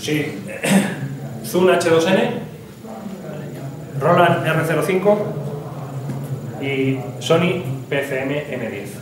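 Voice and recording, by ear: In a room with audible echo, a man of fairly high pitch talks at a very slow pace with long, frequent pauses and ordinary pitch variation.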